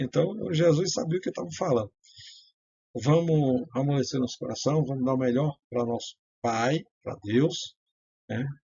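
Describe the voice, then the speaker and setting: A man with a fairly high, somewhat breathy voice speaks at a fairly slow pace with ordinary pitch variation and long, frequent pauses. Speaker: self-styled priest and religious writer. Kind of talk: religious teaching monologue. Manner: hesitant, many fillers.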